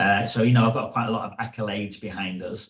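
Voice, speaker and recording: A man talks very fast at medium pitch. His intonation is monotone and flat. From England. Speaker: hairdresser and educator. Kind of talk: podcast interview.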